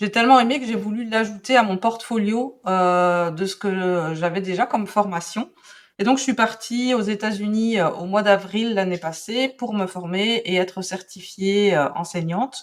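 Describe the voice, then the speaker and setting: In a Belgian accent, a woman speaks at a fairly slow pace and medium pitch with ordinary pitch variation. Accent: Belgian French, noticeable. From Belgium. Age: 40s. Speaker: calligraphy and drawing teacher. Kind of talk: podcast interview. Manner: hesitant, many fillers.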